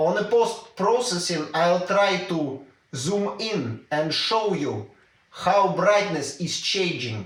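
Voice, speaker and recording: Very slowly and with lively intonation, a man in a Russian accent speaks at a high pitch amid audible room echo. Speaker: tech YouTuber. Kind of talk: tutorial. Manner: casual, hesitant with fillers.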